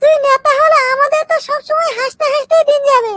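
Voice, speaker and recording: A squeaky, cartoonish character voice at an extremely high pitch rattles along at a fairly quick pace. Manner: mocking, laughing.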